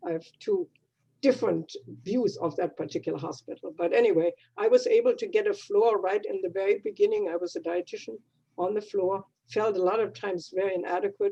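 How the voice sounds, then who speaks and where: Here a woman speaks with a German accent. Her pace is fairly quick. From Germany. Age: 80s+. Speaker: retired dietitian, club member. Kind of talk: personal life story in a club meeting. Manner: halting.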